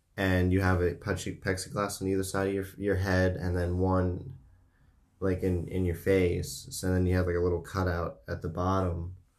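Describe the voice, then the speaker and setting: A man with an American accent, a very deep, low pitch and fairly even intonation at a moderate pace, amid audible room echo. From United States. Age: 20s. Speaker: podcast host. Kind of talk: casual chat. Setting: home studio.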